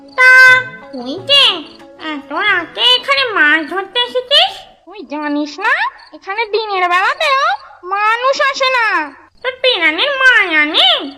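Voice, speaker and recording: An extremely high, female-sounding cartoonish character voice with very wide pitch swings at a fairly slow pace, over music in the background. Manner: bossy, scolding, uses rude familiar address.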